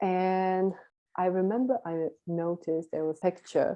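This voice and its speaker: Against a quiet background, a woman with a Czech accent speaks at a fairly low pitch with fairly even intonation. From Czech Republic. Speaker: volunteer abroad; interview guest. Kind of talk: interview. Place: home room. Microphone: video call.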